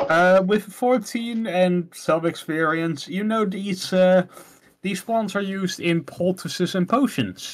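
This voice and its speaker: Very slowly, a man with a Dutch accent speaks in a high pitch with ordinary pitch variation. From Netherlands. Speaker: game master. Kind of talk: tabletop roleplaying session. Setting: voice call.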